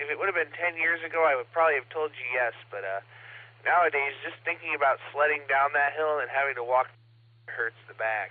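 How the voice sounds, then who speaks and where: At a fairly quick pace, a man with a fairly high pitch uses an ordinary speaking voice with ordinary pitch variation. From Ohio, US. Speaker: amateur radio operator. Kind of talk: casual chat.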